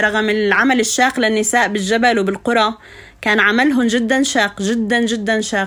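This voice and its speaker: Speaking at a fairly slow pace, a woman uses a monotone, flat intonation in a fairly high, bright, sharp voice. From Syria, Suwayda countryside. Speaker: poet and educator. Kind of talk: interview storytelling.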